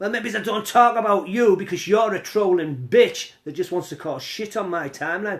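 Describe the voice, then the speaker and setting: The speaker has a British accent and lively intonation. The pace is fairly slow. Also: man. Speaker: cannabis live streamer. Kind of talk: casual live stream chat reading comments. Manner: animated.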